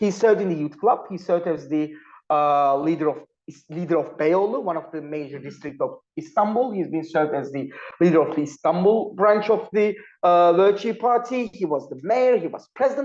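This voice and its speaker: Someone speaks at a fairly quick pace with a Turkish accent. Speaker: panel speaker, political analyst. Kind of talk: academic panel talk. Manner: halting, with frequent fillers.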